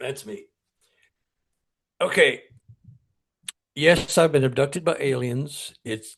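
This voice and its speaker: Speaking very slowly with long, frequent pauses, a man with an American accent and a fairly high pitch sounds somewhat breathy, his loudness swinging widely. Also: ordinary pitch variation. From Texas, Dallas. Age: 70s. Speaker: paranormal researcher and author. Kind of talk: interview storytelling.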